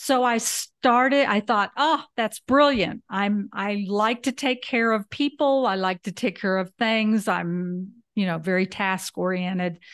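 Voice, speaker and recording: In a Southern US accent, the speaker talks at a fairly slow pace with hardly any pauses and ordinary pitch variation. The sound is dry and close with no echo, over a quiet background. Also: woman, medium pitch for a woman. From US South, Alabama. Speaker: podcast co-host, retired house sitter. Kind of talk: interview, life story.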